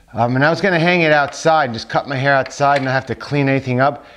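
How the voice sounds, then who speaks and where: With ordinary pitch variation, a man's speech comes through noticeable background noise. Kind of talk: casual tutorial talk. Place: home room.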